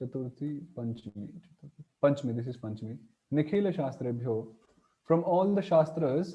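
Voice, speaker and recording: This man has a fairly high pitch and a dark, mellow tone that is somewhat breathy. He talks at a moderate pace with lively intonation and big swings in loudness. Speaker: Sanskrit grammar teacher. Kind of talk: lecture. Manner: halting.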